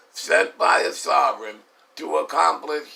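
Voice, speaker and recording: A man with an American accent speaks at a fairly slow pace against noticeable background noise. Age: 70s. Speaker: war veteran. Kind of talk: testimony. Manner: formal.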